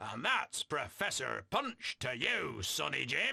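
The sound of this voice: A man in a put-on character voice at a fairly slow pace.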